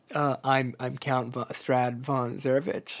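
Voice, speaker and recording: Here a man uses a put-on character voice. His pitch sits in the medium range. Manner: goofy, exaggerated, deliberately bad.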